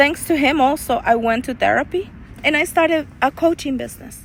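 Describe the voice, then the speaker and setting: A woman with a Spanish accent talks at a moderate pace, her intonation lively. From El Salvador. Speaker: life coach. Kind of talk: personal testimony.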